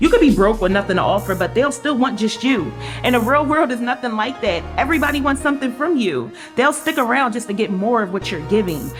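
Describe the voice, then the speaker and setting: Music plays behind a woman who talks at a very fast pace and a fairly high pitch. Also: lively intonation. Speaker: spoken word poet, author, radio co-host. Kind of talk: casual talk to camera, personal interview answer. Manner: warm, sincere.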